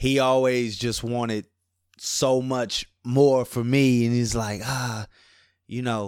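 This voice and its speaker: In a New Orleans accent, a man speaks at a very slow pace and a medium pitch, his intonation monotone and flat, in a very clean recording with a silent background. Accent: Southern New Orleans. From New Orleans, Louisiana (Ninth Ward). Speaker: rapper. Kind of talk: interview. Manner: casual.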